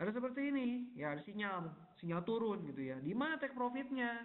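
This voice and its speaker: At a moderate pace, a man's pitch swings very widely. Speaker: forex technical analyst presenting webinar; presenter. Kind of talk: webinar tutorial. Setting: online webinar. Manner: casual, many fillers. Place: home room. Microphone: unstable internet connection; webcam.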